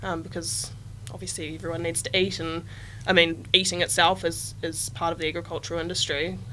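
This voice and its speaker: A woman speaks in a Southland New Zealand accent at a fairly quick pace. Her pitch sits fairly low. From New Zealand, Southland. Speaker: agritech startup team member. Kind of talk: podcast interview.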